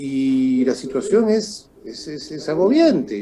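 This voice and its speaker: This man speaks very slowly. His intonation is lively. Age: 60s. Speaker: political commentator. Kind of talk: political interview. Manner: halting with fillers.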